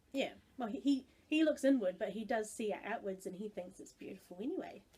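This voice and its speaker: A woman talks very fast at a fairly high pitch with lively intonation. Her tone is dark and mellow, and somewhat breathy. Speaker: video blogger. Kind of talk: casual chat.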